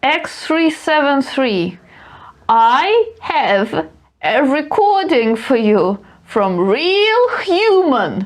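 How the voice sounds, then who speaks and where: This is a put-on character voice. Its pitch makes very wide swings. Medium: actual play. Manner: stiff, formal.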